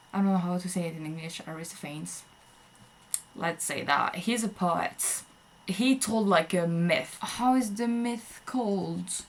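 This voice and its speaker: A woman with a French accent speaks at a medium pitch and a fairly slow pace, with ordinary pitch variation. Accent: French accent, self-described. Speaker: vlogger. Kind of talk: casual monologue. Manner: hesitant, many fillers.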